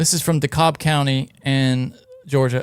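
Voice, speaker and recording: This man has a Southern US accent. He talks at a moderate pace. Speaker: podcast host. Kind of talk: reading news story aloud.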